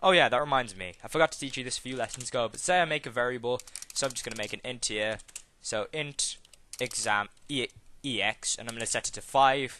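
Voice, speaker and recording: A man of medium pitch at a very fast pace, bright and sharp in tone, with ordinary pitch variation. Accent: British. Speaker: programming tutorial youtuber. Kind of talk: tutorial. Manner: casual, with fillers.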